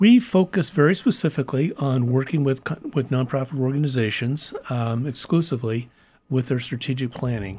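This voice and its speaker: A man's somewhat breathy, dark, mellow voice at a fairly quick pace, with ordinary pitch variation and a Midwestern American accent. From US Midwest, Kansas City. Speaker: nonprofit strategy consultant. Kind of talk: interview conversation. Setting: studio.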